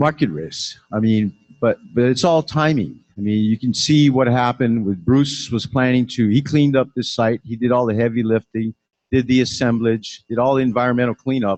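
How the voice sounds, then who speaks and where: Speaking at medium pitch and a moderate pace, a man shows ordinary pitch variation. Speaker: property developer. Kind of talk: Q&A after a talk. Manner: halting, repeats words.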